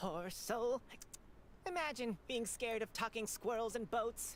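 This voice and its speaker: A female-sounding put-on character voice, fairly high in pitch and amused in tone, moves at a moderate pace over clear background noise. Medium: video game. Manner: condescending, amused.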